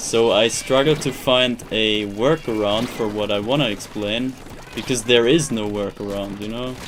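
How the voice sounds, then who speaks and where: A man speaks at a moderate pace with a German accent and a medium pitch. His intonation stays fairly even over noticeable background noise. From Germany. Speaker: video game streamer. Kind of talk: live stream chat while gaming. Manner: halting, repeats words; flat, robotic.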